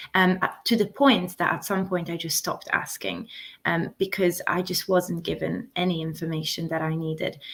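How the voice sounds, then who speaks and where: A woman speaks at a moderate pace in an Italian accent. Vocal fry runs through her voice. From Italy. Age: 20s. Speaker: interview guest sharing health story. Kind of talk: interview testimony. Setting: YouTube live stream.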